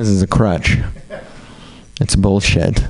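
There is noticeable background noise as a man talks at a fairly slow pace in a fairly low pitch. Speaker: comedian. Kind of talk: stand-up. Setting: stage with audience.

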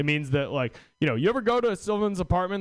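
With very wide pitch swings, a man speaks high for a man at a fairly quick pace. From Washington State. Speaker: stand-up comedian. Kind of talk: stand-up. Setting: stage with audience.

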